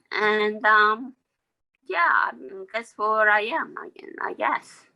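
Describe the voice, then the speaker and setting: The speaker has a Korean accent. The pace is very slow. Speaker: language student. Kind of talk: self-introduction in class.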